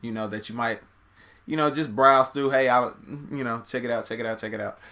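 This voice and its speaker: A man's medium-pitched voice, bright and sharp in tone, with fairly even intonation. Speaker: YouTube reaction channel host. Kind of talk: casual video commentary. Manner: fast.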